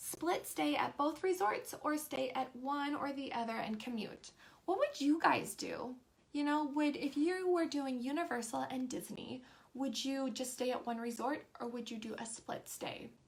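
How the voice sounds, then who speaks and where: This woman's voice sits high. Her pitch moves in a typical way. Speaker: live stream host for theme park tips. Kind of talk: casual live stream chat reading viewer comments. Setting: Facebook live stream. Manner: fast when excited.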